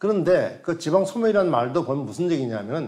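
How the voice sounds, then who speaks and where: A man's high voice with lively intonation at a moderate pace, against a quiet background. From South Korea. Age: 70s. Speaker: professor emeritus, rural economist. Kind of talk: lecture and panel discussion. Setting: studio. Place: studio. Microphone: lapel.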